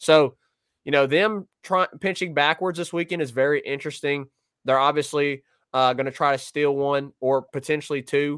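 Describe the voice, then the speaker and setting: Here a man with a fairly high pitch talks at a moderate pace in an ordinary speaking voice. His intonation is fairly even, and the sound is dry and close with no echo. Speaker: sports podcast co-host. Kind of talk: casual sports talk. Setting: remote video stream.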